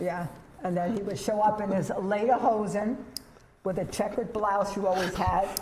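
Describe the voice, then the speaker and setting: Amid audible room echo and noticeable background noise, a woman speaks at a medium pitch and moderate pace with fairly even intonation. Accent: New York. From New York City (Bronx, Staten Island). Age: 70s. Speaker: veterans' organization volunteer. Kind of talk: casual interview conversation.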